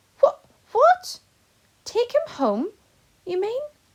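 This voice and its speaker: A woman puts on a character voice, squeaky and extremely high in pitch. She keeps it raised and projected. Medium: read story. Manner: eager, warm.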